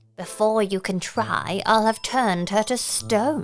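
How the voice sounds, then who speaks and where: A shrill, put-on character voice, female-sounding, at medium pitch and a fairly slow pace. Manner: triumphant, threatening.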